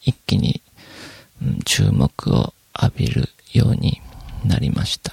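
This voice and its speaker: A relaxed-toned man with very wide pitch swings, recorded dry and close with no echo. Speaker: podcast host. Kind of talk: solo casual monologue. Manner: relaxed, many fillers.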